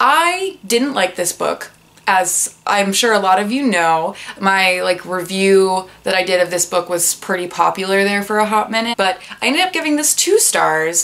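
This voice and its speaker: A woman speaks at a moderate pace with a medium pitch. Her pitch varies in an ordinary way over noticeable background noise. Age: 20s. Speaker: booktuber, bookseller. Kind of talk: casual talk to camera. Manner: subdued, not peppy; quieter, roommates asleep.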